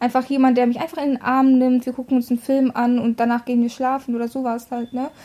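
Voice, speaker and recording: Her delivery is very fast and monotone. The woman's voice is high and flat. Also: hardly any pauses. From Russia. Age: 20s. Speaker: podcast co-host. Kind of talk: casual chat.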